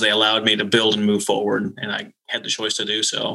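A man with an American accent and an unremarkable speaking voice, fairly low in pitch, at a moderate pace. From northern Minnesota. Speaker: naval flight officer and nonprofit consultant. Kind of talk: interview.

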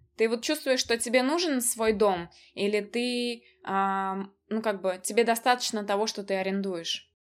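Over a silent background in a very clean recording, a woman with a normal speaking voice and fairly high pitch talks at a fairly slow pace with ordinary pitch variation. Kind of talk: casual chat.

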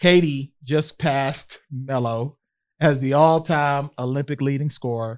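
At a fairly slow pace, a man with an unremarkable speaking voice talks in a fairly high register with fairly even intonation, recorded dry and close with no echo. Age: 40s. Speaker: podcast host. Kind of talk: casual chat.

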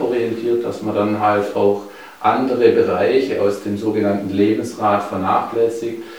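The speech moves at a fairly slow pace in a monotone, flat intonation. Audible room echo and noticeable background noise fill the recording. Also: man. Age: 40s. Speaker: nutrition and weight-loss coach. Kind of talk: interview.

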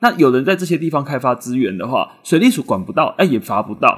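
On a very clean recording with a silent background, a man talks at a fairly quick pace. His fairly high pitch makes very wide swings. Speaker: news podcast host. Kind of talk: news commentary podcast. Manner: fast; stumbling over words.

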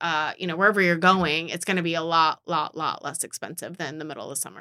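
A woman's bright, sharp tone is captured on a very clean recording with a silent background. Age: 40s. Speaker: podcast host, TV news anchor. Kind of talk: casual chat.

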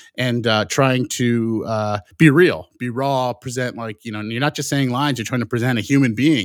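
In a normal speaking voice of medium pitch, a man talks at a moderate pace with ordinary pitch variation and hardly any pauses, the sound dry and close with no echo. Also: very clean recording, silent background. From US Midwest (Indiana, Michigan). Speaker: film director. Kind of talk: casual interview.

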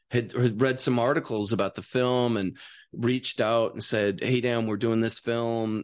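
A man with an American accent speaks at medium pitch and a moderate pace, his intonation monotone and flat over a quiet background. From Wisconsin, US Midwest. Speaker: writer and actor. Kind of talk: casual chat. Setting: studio.

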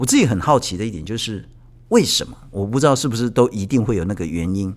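A man speaks in a normal speaking voice at a medium pitch. His pace is fairly quick. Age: 50s. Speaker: podcast host. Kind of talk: casual interview.

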